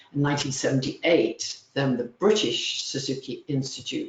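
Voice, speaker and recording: A woman keeps a moderate pace while noticeable background noise carries on. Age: 70s. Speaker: music teacher. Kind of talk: webinar presentation. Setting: webinar.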